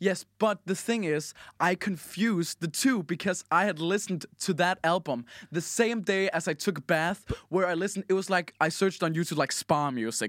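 Speaking at a moderate pace with a Danish accent, a man uses a high pitch and ordinary pitch variation on a very clean recording with a silent background and a dry, close sound with no echo. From Denmark. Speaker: podcast host. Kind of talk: casual chat. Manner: halting, many fillers.

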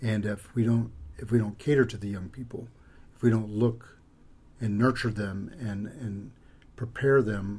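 An American-accented man speaks at a moderate pace with a fairly low pitch and fairly even intonation. His voice is somewhat breathy, with a dark, mellow tone. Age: 50s. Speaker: pastor. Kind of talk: casual interview.

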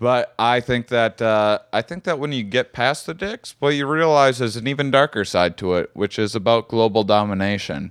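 Against a quiet background, a man with an ordinary speaking voice talks at a moderate pace and medium pitch, his intonation lively. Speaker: podcast host. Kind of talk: casual comedy banter. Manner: joking, playful.

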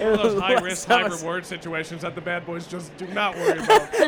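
Over noticeable background noise, a man with an American accent and a high pitch talks at a very fast pace, his intonation fairly even but his loudness swinging widely.

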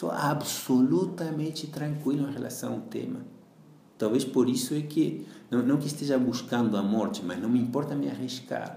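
A man's fairly high voice at a moderate pace, with lively intonation, audible room echo and noticeable background noise. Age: 40s. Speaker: yoga teacher. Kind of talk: interview. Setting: home kitchen.

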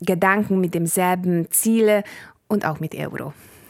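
A woman with a Bulgarian accent speaks at a fairly low pitch. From Hungary. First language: Bulgarian (speaking German). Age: 40s. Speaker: politician. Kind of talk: interview.

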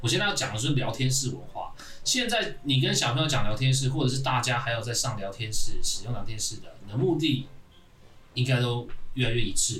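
Room echo is audible as a man speaks fairly quickly at a medium pitch. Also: ordinary pitch variation. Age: 30s. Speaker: podcast host. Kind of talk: casual chat. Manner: animated.

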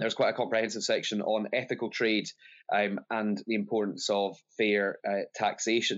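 A man with a Scottish accent talks at a moderate pace and a fairly low pitch. His intonation is fairly even and his loudness very even. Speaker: politician. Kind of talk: panel debate. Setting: video call.

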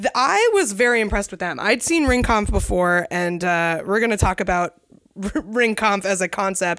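A woman with an unremarkable speaking voice at medium pitch, with ordinary pitch variation and a moderate pace. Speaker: podcast co-host, wrestling enthusiast. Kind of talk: casual chat. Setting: house basement.

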